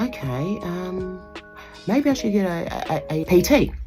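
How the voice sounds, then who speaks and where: A woman with an Australian accent at a very slow pace, music in the background. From Southern Tasmania, Australia. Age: 50s. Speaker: bodybuilding competitor. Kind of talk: interview answer. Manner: hesitant, conversational.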